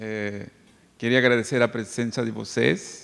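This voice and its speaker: Amid noticeable background noise, a man speaks with a Bolivian accent. His medium-pitched delivery is very slow. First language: Spanish (speaking Portuguese). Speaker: psychologist. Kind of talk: lecture. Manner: hesitant, with filler sounds.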